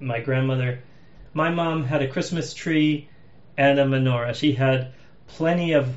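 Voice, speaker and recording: A man with an American accent at a fairly slow pace and a fairly high pitch, fairly even intonation and audible room echo. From Massachusetts, US. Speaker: podcast host. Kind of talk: casual chat.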